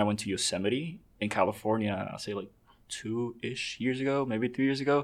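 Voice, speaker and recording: A man talks at a fairly quick pace in an American accent. His pitch variation is ordinary, and the recording is very clean with a silent background. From Dominican Republic, raised in the US from age five. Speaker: photographer. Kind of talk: casual interview. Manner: upbeat, energetic.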